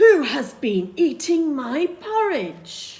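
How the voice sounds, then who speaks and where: Growling in a put-on character voice, the speaker talks very slowly at a high pitch, raised and projected, with very wide pitch swings. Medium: read story.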